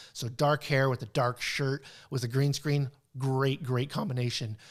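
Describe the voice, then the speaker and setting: Fairly even intonation marks a man's medium-pitched speech. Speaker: video production instructor. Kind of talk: webinar presentation. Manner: halting, many fillers.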